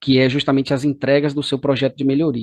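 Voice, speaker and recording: In a Bahian accent, a man with a fairly high pitch is recorded with a dry, close sound with no echo over a quiet background. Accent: Bahian Brazilian Portuguese. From Brazil, Bahia (Salvador). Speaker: course instructor. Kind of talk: lecture.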